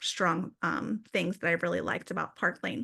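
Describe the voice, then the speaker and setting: A woman's bright, sharp voice against a quiet background. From Philadelphia, Pennsylvania. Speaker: direct sales leader. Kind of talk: business presentation.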